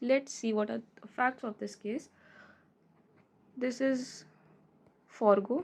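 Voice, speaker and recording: A woman with an Indian accent speaks at a very slow pace in a high pitch, with fairly even intonation. She leaves long, frequent pauses, and her loudness swings widely. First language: Hindi. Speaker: law tutor. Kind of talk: tutorial.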